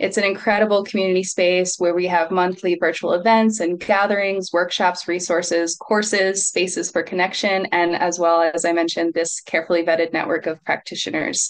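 A fairly low-pitched woman's voice at a fairly quick pace, monotone and flat, very even in loudness, with hardly any pauses and a quiet background. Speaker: retreat center executive hosting Q&A; event host. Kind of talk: event moderation. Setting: video call. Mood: warm, friendly. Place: home room. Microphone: video call.

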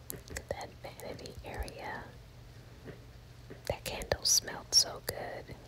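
A woman whispering at a very slow pace. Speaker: ASMR content creator. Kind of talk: ASMR house tour, casual talk to camera. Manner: soft whispering, relaxing. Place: bathroom. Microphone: phone near.

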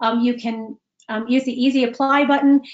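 A woman with an American accent, high-pitched, at a fairly quick pace with ordinary pitch variation against a quiet background. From US Midwest, Chicago. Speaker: executive coach. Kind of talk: webinar presentation. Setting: video call. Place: home room. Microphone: webcam.

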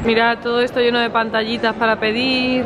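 A woman's fairly high-pitched voice over crowd noise in the background. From Spain. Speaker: vlogger. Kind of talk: casual vlog narration. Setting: walking around the city, outdoors and in a restaurant. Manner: animated. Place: cafe. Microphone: phone near.

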